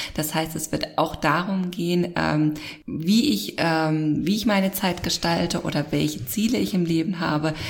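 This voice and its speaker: A woman at a fairly low pitch, with vocal fry, at a moderate pace. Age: 30s. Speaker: podcast host. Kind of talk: casual chat.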